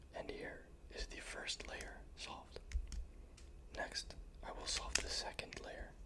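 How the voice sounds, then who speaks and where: Someone whispers in a calm tone at a very slow pace, with long, frequent pauses. Noticeable background noise is present. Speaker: ASMR content creator. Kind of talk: ASMR tutorial narration, whispered instruction. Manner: whispered, soft-spoken, calm.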